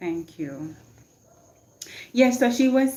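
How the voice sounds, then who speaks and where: A woman speaks in a Jamaican accent at a very slow pace. Her pitch swings very widely. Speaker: motivational livestreamer. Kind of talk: casual livestream chat. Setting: live stream. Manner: code-switching between patois and English.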